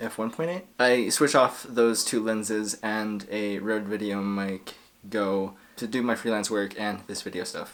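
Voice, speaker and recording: Speaking at a fairly slow pace, a man with an American accent uses a fairly low pitch with ordinary pitch variation. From New Mexico, US Southwest. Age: 20s. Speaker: YouTuber and freelance videographer. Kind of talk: casual vlog to camera. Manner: casual, hesitant with fillers.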